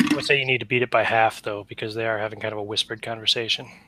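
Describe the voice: The text is simply read aloud, plainly.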